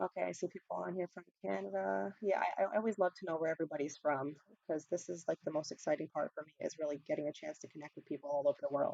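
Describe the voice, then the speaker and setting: The speaker talks very fast with a New York accent, hardly pausing, in a dark, mellow tone with vocal fry. The pitch swings very widely and the loudness rises and falls sharply. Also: woman, very deep, low pitch for a woman. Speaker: ESL teacher. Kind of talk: online teacher training webinar. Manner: casual, many fillers and repetitions. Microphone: quiet, mic volume already maxed.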